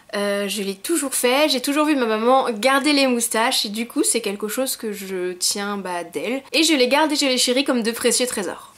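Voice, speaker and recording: At a moderate pace, a woman speaks in a high voice with lively intonation. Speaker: YouTuber. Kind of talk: casual vlog monologue.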